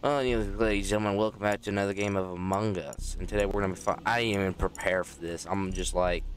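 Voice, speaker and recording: A man speaks at a very fast pace with hardly any pauses. His intonation stays fairly even. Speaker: gaming youtuber. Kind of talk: gameplay commentary. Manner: casual, rambling.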